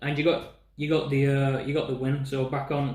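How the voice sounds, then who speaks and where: A man with a Yorkshire accent, talking at a fairly slow pace amid audible room echo. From northern England, Sheffield. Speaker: podcast host. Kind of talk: interview.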